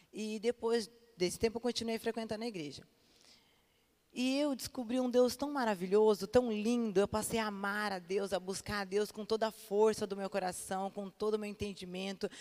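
A woman speaks in a plain, everyday voice with a fairly high pitch. Her intonation is fairly even and her pace moderate. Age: 30s. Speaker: pastor. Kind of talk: sermon.

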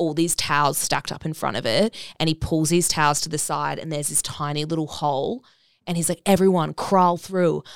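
In a very clean recording with a silent background and a dry, close sound with no echo, a woman with an Australian accent speaks at a moderate pace with a very deep, low pitch and fairly even intonation. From Brisbane, Australia. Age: 20s. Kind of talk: casual chat. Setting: studio.

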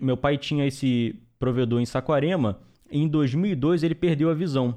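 A man at medium pitch speaks with lively intonation in a normal speaking voice. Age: 20s. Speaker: network engineer and trainer. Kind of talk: interview.

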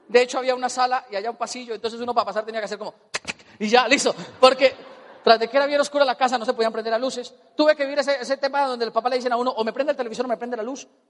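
With an extremely high pitch and an animated tone, a man talks very fast over noticeable background noise. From Colombia. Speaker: motivational speaker. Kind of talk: motivational seminar talk.

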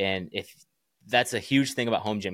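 A man with an American accent and an unremarkable speaking voice, medium pitch and fairly quick pace, on a very clean recording with a silent background. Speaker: barbell company founder and firefighter. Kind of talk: casual interview chat.

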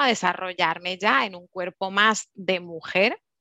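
A woman with a bright, sharp tone speaks at a fairly slow pace in dry, close sound with no echo. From Curaçao. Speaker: team leader and beauty advisor. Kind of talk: casual chat.

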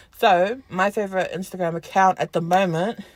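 Recorded very cleanly against a silent background, the speaker talks at a moderate pace in a New Zealand accent. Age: 20s. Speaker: podcast co-host. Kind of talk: casual chat. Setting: in a car.

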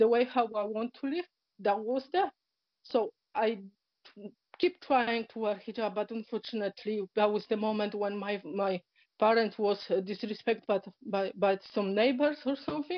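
Speaking with a Polish accent, a woman with a fairly high pitch keeps a moderate pace and ordinary pitch variation. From Poland. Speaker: journalist and convert. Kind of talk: emotional interview.

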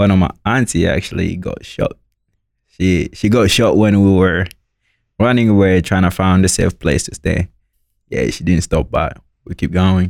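A man talks at a moderate pace with a very deep, low pitch and ordinary pitch variation. He leaves long, frequent pauses. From Democratic Republic of the Congo. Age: 20s. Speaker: university student and youth mentor. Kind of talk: interview.

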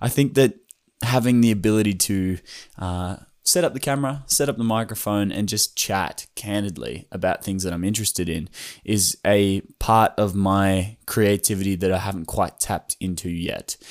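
A very clean recording, silent background, of a man with an Australian accent, fairly low pitch, ordinary pitch variation and a moderate pace. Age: 20s. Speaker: YouTuber and creative. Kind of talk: solo podcast monologue. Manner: rambling.

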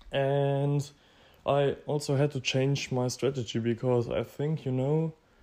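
This man's tone is dark and mellow, his intonation fairly even. He speaks at a very slow pace against a quiet background. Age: 20s. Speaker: podcast host, e-commerce entrepreneur. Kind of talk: solo monologue podcast. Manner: casual with frequent fillers.

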